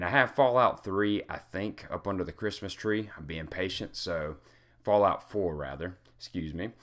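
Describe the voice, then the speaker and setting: An unremarkable speaking voice from a man at a fairly low pitch, moderate pace and ordinary pitch variation, with big swings in loudness, on a very clean recording with a silent background. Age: 30s. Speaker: gaming and self-improvement blogger. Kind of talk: personal vlog monologue. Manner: casual, with many fillers.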